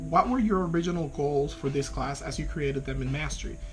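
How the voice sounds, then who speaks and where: A man speaks at a fairly quick pace with a Spanish accent. The room has audible echo, and there is noticeable background noise. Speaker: graduate student. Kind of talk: video class reflection. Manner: hesitant, with fillers.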